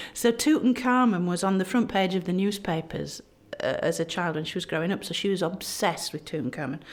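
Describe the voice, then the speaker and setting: A woman with a Yorkshire accent speaks at a medium pitch. Her intonation is lively. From South Yorkshire, England (Barnsley). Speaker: egyptologist, professor. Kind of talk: podcast interview. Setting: recorded at a history festival. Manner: animated.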